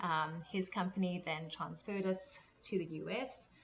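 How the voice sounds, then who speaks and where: A woman with a South African accent, medium in pitch, at a moderate pace. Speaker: transition coach. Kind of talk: casual interview.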